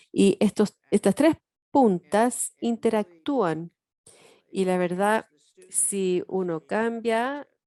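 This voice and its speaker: With a fairly high pitch and a dark, mellow tone, a woman speaks at a very slow pace with lively intonation and long, frequent pauses. The sound is dry and close with no echo, over a quiet background. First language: English (speaking Spanish). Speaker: education professor. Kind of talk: workshop lecture.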